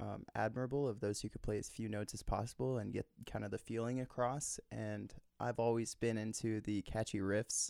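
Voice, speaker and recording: Man with a plain, everyday voice, medium pitch, fairly even intonation and a moderate pace, on a very clean recording with a silent background. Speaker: musician and songwriter. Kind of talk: casual interview chat. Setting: home recording studio. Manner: articulate, jokey.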